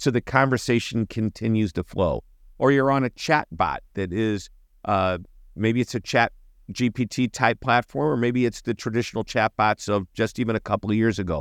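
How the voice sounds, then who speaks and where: On a very clean recording with a silent background, a man with an ordinary speaking voice talks at a moderate pace and medium pitch with ordinary pitch variation. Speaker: customer experience expert and author. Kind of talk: conversational interview.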